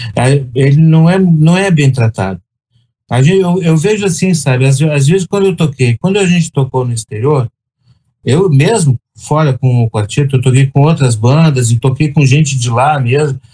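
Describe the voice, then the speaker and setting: With a dry, close sound and no echo, a man speaks at a fairly high pitch in a somewhat breathy, dark, mellow tone, keeping ordinary pitch variation and very even loudness. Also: moderate pace. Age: 60s. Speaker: orchestra trombonist. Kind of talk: casual chat.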